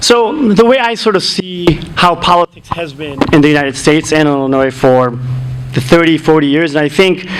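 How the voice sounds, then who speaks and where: Male speaker at a fairly high pitch with lively intonation and a moderate pace, over noticeable background noise. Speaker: political candidate. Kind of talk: candidate forum debate answers. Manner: informal with many fillers and restarts. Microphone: muffled sound, volume adjusted.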